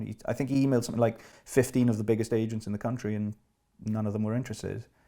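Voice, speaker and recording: A man speaks at a medium pitch with a Welsh accent. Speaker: actor. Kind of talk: casual chat.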